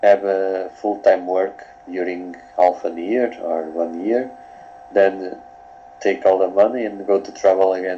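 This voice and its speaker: A man's very deep, low voice at a fairly slow pace, with noticeable background noise. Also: ordinary pitch variation. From Portugal. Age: 20s. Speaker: coaching client. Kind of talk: coaching session. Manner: halting.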